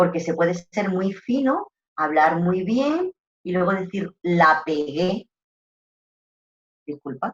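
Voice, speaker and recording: Speaking with an Andalusian accent at a very slow pace, the voice leaves long, frequent pauses. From Andalusia, southern Spain. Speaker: trainer in rural tourism customer service. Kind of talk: online course lecture. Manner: animated.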